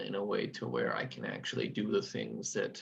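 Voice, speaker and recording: A man with vocal fry speaks at a fairly low pitch. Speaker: course participant. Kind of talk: question on video call. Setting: Zoom video call.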